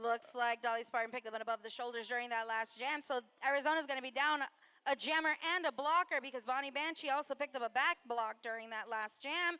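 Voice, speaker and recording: A woman's raised, projected voice, high-pitched, bright and sharp in tone, with ordinary pitch variation and a very fast pace. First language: not English. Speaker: roller derby commentator. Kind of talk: live commentary.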